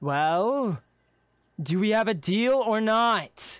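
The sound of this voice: In a put-on character voice, a man speaks at a very slow pace with a high pitch, a clear, smooth tone and lively intonation.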